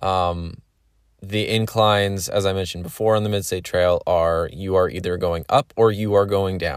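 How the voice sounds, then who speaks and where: In an American accent, the speaker keeps a fairly even intonation on a very clean recording with a silent background. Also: man. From Pennsylvania. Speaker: podcast host. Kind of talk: casual monologue. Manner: many filler words.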